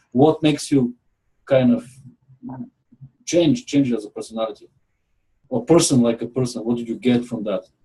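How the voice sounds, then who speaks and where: A man speaks with long, frequent pauses, his medium pitch varying in an ordinary way. His tone is dark and mellow, and somewhat breathy. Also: fairly quick pace. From Bulgaria. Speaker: property manager. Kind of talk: interview.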